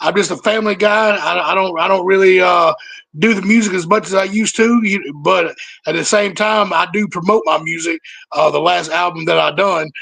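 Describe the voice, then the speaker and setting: A man speaks with a Southern US accent, his pitch high and his tone bright and sharp. His intonation stays fairly even at a fairly quick pace. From Mississippi, Boonville. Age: 30s. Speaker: rapper. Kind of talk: casual interview. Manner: halting, repeats words.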